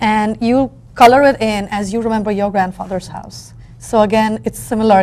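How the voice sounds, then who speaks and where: Speaking at a moderate pace with a Bengali accent, a woman uses a fairly high pitch, fairly even intonation and big swings in loudness. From India. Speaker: book artist and educator. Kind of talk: interview.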